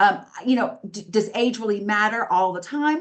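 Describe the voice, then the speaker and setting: An ordinary speaking voice from a woman with lively intonation at a moderate pace. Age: 50s. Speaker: politician, council member. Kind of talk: political debate. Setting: video call.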